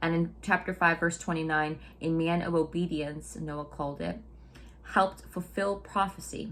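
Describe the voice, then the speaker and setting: Vocal fry over fairly even intonation. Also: woman. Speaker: Bible study video host. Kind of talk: Bible study teaching. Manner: fast; casual, conversational.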